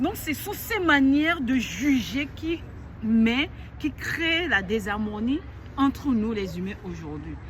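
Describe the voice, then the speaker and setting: A woman talks loudly in a high pitch at a very slow pace. Her intonation is lively, and there is noticeable background noise. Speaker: life coach. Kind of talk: motivational talk to camera.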